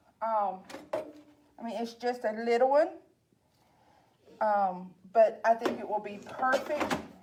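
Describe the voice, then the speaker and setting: A woman with a Southern accent speaks in a fairly high pitch. Her pitch varies in an ordinary way. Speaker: library staff cooking host. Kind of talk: cooking tutorial. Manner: casual, chatty.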